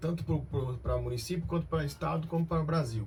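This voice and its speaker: A man with a plain, everyday voice speaks at a fairly high pitch. His pace is moderate and his intonation lively. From Brazil, Cianorte, Paraná. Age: 30s. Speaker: company director. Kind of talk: radio interview.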